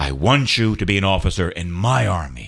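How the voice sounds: In a put-on character voice, a man growls at a very deep, low pitch, swinging his pitch very widely at a moderate pace.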